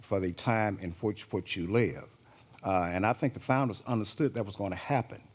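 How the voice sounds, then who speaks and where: Here a man speaks with an American accent. His pitch varies an ordinary amount. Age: 60s. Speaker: panelist on constitutional law. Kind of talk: panel discussion. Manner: halting, many fillers.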